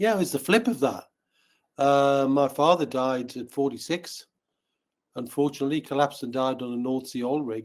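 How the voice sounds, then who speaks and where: This man talks in a Newcastle accent at a fairly quick pace. His pitch is fairly high. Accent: Newcastle (Geordie). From northern England, Newcastle upon Tyne. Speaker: wealth educator, company founder. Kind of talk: podcast interview.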